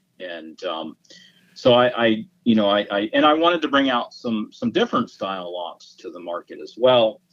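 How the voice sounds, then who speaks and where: A man speaks with an American accent. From Virginia, US. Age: 50s. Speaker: gunsmith and lock maker. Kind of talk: interview. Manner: halting, many repeated words.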